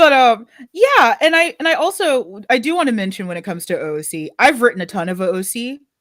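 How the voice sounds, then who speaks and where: A woman with an American accent speaks in an animated tone at a high pitch, with very wide pitch swings and big swings in loudness. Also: fairly quick pace. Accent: American, slightly Texan. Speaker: podcast co-host. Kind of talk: casual chat. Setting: live stream.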